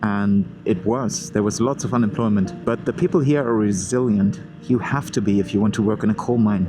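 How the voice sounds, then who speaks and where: Fairly quick speech with ordinary pitch variation and very even loudness, set against music in the background. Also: man, fairly low pitch for a man. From Germany, Ruhr area. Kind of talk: motovlog narration to camera. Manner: casual, conversational.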